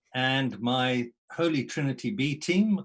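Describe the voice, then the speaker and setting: In a Zimbabwean accent, a man speaks at medium pitch. His intonation is lively. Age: older than 23. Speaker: mission and discipleship consultant. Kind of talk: panel discussion.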